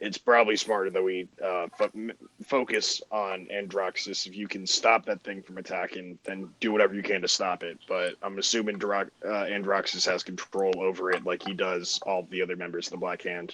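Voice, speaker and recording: Putting on a raspy character voice, a man talks at a moderate pace and a fairly low pitch, with hardly any pauses. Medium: actual play. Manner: blunt, impulsive.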